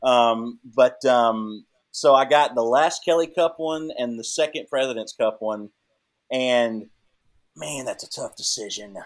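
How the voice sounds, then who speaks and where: A man with a normal speaking voice talks at a medium pitch and a fairly slow pace. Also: ordinary pitch variation. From Texas (moved from Canada as teen). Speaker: athletic trainer for a pro hockey team. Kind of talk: casual podcast interview.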